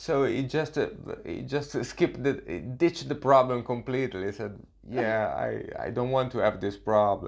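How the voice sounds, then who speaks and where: A man with a non-native accent talks at a medium pitch with vocal fry and ordinary pitch variation. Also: moderate pace. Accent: foreign-accented English. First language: not English. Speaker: podcast host, martial arts trainer. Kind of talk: interview. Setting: in person, London. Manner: halting, many fillers.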